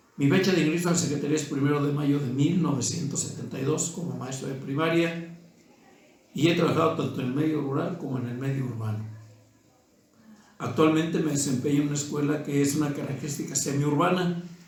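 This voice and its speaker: With noticeable background noise and audible room echo, a man speaks fairly quickly in a fairly high pitch, his intonation fairly even. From Mexico, Guanajuato. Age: 60s. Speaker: teacher. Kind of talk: interview testimony. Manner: formal.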